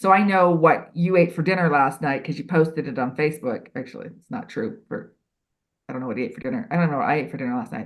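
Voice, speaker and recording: At a very fast pace, a woman with a very deep, low pitch talks with very wide pitch swings and big swings in loudness. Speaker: HR expert and writer. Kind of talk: podcast interview.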